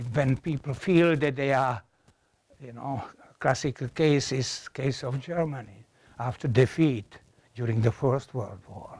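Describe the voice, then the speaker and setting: A man speaks in a Czech accent at a fairly slow pace, somewhat breathy, with ordinary pitch variation. His loudness swings a lot. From Czechoslovakia (Moravia); Czechoslovakia. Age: 80s+. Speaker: professor. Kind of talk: lecture. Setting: classroom with audience. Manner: halting. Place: classroom.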